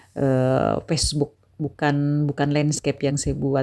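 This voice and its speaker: In a very clean recording with a silent background, a woman with a Makassar accent speaks in a very deep, low pitch with a dark, mellow tone. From Bone, South Sulawesi, Indonesia. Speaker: vlogger, housewife and madrasah staff. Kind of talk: casual vlog narration.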